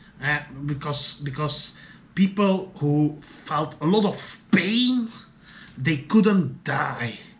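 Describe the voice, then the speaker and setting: With lively intonation, a man speaks at a very slow pace in a fairly high voice. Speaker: video diarist. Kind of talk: solo video diary monologue. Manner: halting, many fillers and repetitions.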